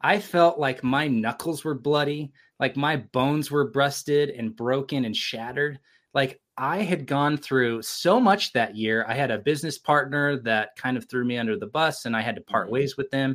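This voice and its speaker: A man with an American accent talks in an ordinary speaking voice at a fairly high pitch. He keeps a moderate pace with ordinary pitch variation, on a very clean recording with a silent background. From California (Sacramento area). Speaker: creative entrepreneur and film producer. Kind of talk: casual interview conversation.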